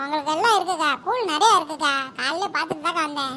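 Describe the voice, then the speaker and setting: A woman's cartoonish character voice, extremely high in pitch, at a moderate pace over clear background noise. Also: ordinary pitch variation. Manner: eager, wheedling.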